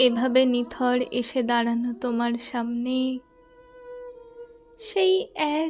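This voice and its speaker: A woman talks in a high voice while music is heard behind her. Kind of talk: poetry reading.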